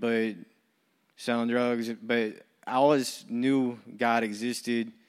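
With an American accent, a man talks at a very slow pace in a monotone, flat way, and audible room echo surrounds him. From US, military family. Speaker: recovery program staff. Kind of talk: testimony. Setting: church.

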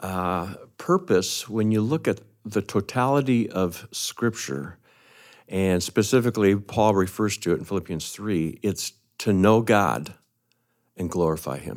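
The speech moves at a fairly slow pace with ordinary pitch variation. The recording is very clean, the background silent. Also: man, fairly low pitch for a man. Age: 60s. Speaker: retiring church minister. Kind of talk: conversational interview. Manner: hesitant, many fillers.

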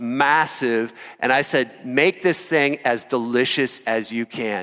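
On a very clean recording with a silent background, a man with an American accent speaks at medium pitch in a bright, sharp tone. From Iowa, US Midwest. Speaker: pastor. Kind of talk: sermon. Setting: church.

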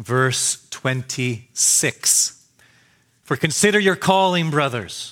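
Bright and sharp in tone, a man speaks with ordinary pitch variation. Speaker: pastor. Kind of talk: sermon. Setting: church.

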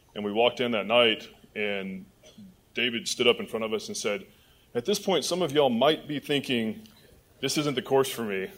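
Speaking at a moderate pace, a man uses a medium pitch with very wide pitch swings. He leaves long, frequent pauses. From Michigan. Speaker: judge. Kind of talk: testimony. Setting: church.

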